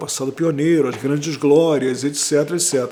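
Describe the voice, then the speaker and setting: A man speaks over noticeable background noise. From Brazil, Rio de Janeiro. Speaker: history professor. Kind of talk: interview. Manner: conversational, with hesitations.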